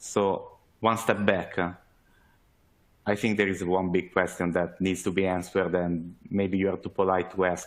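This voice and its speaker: A man's very deep, low voice, monotone and flat, at a moderate pace. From Italy. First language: Italian. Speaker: sales manager, webinar speaker. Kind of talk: webinar presentation. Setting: online webinar. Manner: hesitant, many fillers.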